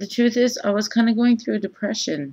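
The setting is hushed while a woman talks. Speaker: video blogger. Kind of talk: casual vlog chat. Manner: slow, low, drowsy just-woke voice. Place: home room. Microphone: webcam.

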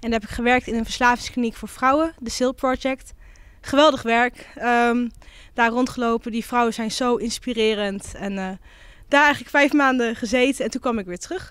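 A woman speaks at a moderate pace in a high voice with ordinary pitch variation and big swings in loudness. The sound is dry with no echo, and the background is quiet. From Netherlands, Twente (Almelo); Netherlands. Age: 20s. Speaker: local councillor and psychology student; local councillor. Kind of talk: interview. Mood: warm, reflective. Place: hall. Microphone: handheld.

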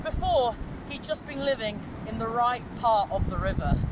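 The speech has lively intonation. The sound is dry with no echo, over loud background noise. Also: man. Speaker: storyteller. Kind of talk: storytelling. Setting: outdoors in a river. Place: waterside. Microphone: camera far.

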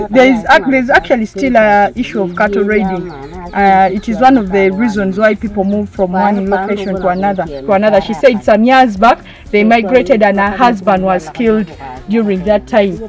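A woman speaks at a moderate pace with ordinary pitch variation. The sound is dry with no echo, and background noise is noticeable. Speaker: presenter. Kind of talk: presenter commentary. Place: open country.

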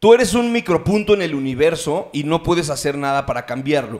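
A man at a moderate pace with lively intonation. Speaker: podcast host or guest, stand-up comedian. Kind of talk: casual podcast conversation. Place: studio. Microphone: studio mic.

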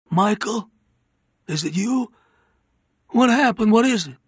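A man puts on a character voice that is high-pitched, gravelly, hoarse and strained, with a slightly husky edge. He talks at a slow pace with lively intonation.

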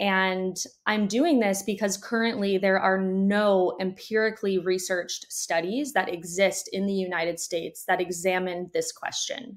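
Against a quiet background, a woman with an American accent speaks at a moderate pace with fairly even intonation and hardly any pauses. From conservative religious area. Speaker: doctoral psychology student and researcher. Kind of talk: interview. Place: home room.

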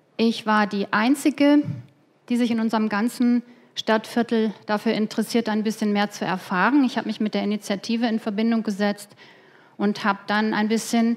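In an unremarkable speaking voice, a woman with a fairly high pitch talks at a moderate pace. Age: 50s. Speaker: conference speaker, business economist; conference speaker. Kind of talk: lecture. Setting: stage with audience. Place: hall. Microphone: headset.

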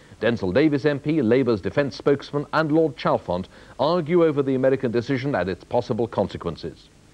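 Speaking very fast with a British accent, a man keeps a serious tone at a medium pitch. His intonation is lively. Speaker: news presenter. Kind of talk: TV news headlines read in a grave, authoritative tone. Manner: serious, steady and formal.

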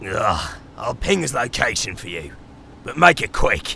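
A man speaks in a raspy, put-on character voice. Background noise is clearly heard. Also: moderate pace. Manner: sarcastic, blunt.

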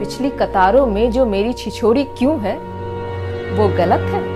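A woman talks at a very slow pace. Clear music plays in the background. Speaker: theatre performer. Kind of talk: poetry reading. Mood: ironic, expressive, sometimes smiling. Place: home room. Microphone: phone near.

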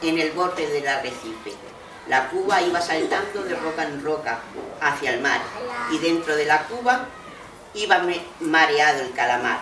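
At a fairly slow pace, a woman speaks with lively intonation through noticeable background noise. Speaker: grandmother storyteller. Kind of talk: reading poems and stories to young children. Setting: school library.

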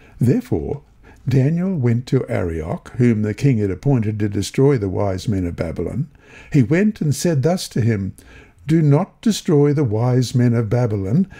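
A somewhat breathy voice with a dark, mellow tone, very wide pitch swings and a moderate pace, in a very clean recording with a silent background. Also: man, medium pitch for a man. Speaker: Bible lesson reader and prayer leader. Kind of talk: reading aloud and prayer.

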